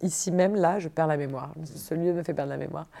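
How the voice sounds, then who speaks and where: On a very clean recording with a silent background, a woman with a fairly low pitch and a dark, mellow tone speaks at a moderate pace with ordinary pitch variation. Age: 30s. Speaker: improv performer and producer. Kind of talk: interview.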